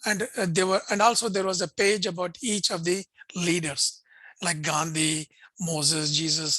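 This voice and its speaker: A man with a Pakistani accent, high pitch, a bright, sharp tone, ordinary pitch variation and a moderate pace, against a quiet background. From India, Bangalore. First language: Urdu. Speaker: interfaith think tank director and host. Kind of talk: video interview conversation.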